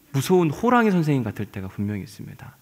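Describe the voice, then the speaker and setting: The recording is very clean with a silent background as a man talks at a fairly quick pace. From South Chungcheong, Yesan. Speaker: pastor. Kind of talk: sermon.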